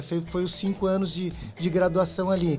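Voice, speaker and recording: Noticeable background noise around a man's fairly quick delivery. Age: 40s. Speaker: entrepreneur, language school co-founder. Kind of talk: interview conversation. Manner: halting, with repetitions and fillers.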